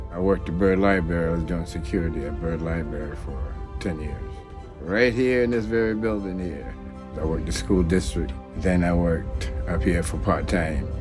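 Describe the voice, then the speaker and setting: Backed by music, a man with an American accent speaks at a moderate pace in a very deep, low pitch with very wide pitch swings. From South Carolina, US. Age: 60s. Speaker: retired military veteran, driver. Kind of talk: interview answer.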